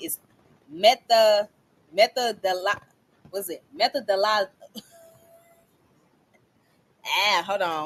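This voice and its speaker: A woman in a Southern US accent, medium pitch and lively intonation. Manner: slowing down to pronounce carefully.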